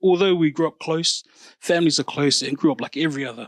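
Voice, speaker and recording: In a dry, close sound with no echo, a man talks at a fairly quick pace with fairly even intonation. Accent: New Zealand. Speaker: podcast host. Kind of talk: casual chat.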